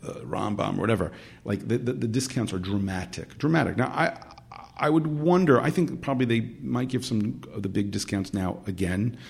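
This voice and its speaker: A man's normal speaking voice with lively intonation. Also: medium pitch for a man, fairly quick pace. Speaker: publicist. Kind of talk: casual interview.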